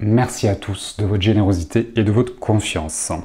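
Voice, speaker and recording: A man talks with a dark, mellow tone. His voice is somewhat breathy. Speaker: association founder. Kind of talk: video report to supporters.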